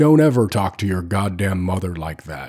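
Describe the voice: A man speaks in a gruff, put-on character voice, very deep and low in pitch. His intonation is lively, and his pace is moderate.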